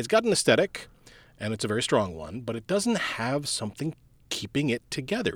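A man at a very fast pace with a medium pitch, vocal fry and very wide pitch swings, in a very clean recording with a silent background. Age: 50s. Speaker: podcast co-host. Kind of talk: casual chat.

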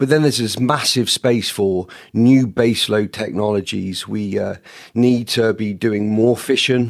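Using fairly even intonation, a man with a British accent talks at a moderate pace and a fairly low pitch. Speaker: space power lead. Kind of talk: panel interview discussion.

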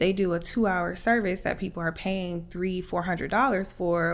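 A woman with an unremarkable speaking voice and medium pitch speaks at a moderate pace with hardly any pauses. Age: 30s. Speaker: hair salon owner. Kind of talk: interview. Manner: many filler ums.

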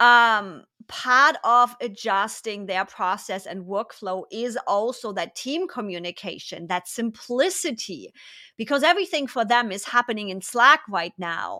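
A woman with a German accent, fairly high-pitched, bright and sharp, fairly slow, with lively intonation, big swings in loudness and a very clean recording with a silent background. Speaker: podcast host. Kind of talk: casual interview.

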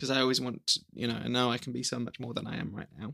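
The speech moves at a fairly quick pace with vocal fry throughout. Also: man. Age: 20s. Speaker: young teacher and videographer. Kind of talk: casual chat. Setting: home recording with family.

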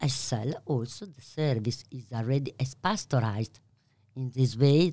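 A woman's very deep, low voice with an Italian accent, a dark, mellow tone and ordinary pitch variation, on a very clean recording with a silent background. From Italy. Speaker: pasta maker and business owner. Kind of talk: interview.

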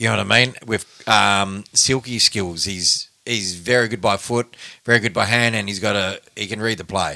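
In an Australian accent, a man speaks at a moderate pace with a fairly low pitch and fairly even intonation. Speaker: football podcast host. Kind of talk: casual chat. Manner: halting, many fillers.

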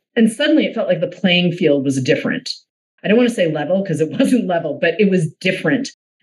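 A woman with an American accent talks at a very fast pace, her medium pitch swinging very widely and her voice somewhat breathy. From Boston. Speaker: podcast host and producer. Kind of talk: casual chat.

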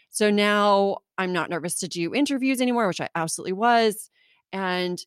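In a very clean recording with a silent background and a dry, close sound with no echo, a woman with a Southern California accent speaks at a moderate pace and a medium pitch with lively intonation. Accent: Southern California, Valley Girl. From US West Coast, California (Orange County). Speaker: podcaster and copywriter. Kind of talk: casual interview chat.

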